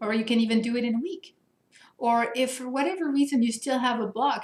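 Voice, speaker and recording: High-pitched woman's voice at a fairly quick pace, with ordinary pitch variation. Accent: French. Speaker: coach for higher education administrators. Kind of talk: Q&A video answering participant questions. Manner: animated.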